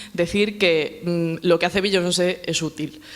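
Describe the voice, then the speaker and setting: This is a woman speaking. She has a Galician accent. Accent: Galician Spanish accent, noticeable. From Galicia, Spain. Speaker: politician and feminist speaker. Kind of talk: panel talk. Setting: panel at a summer university, with audience. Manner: fast.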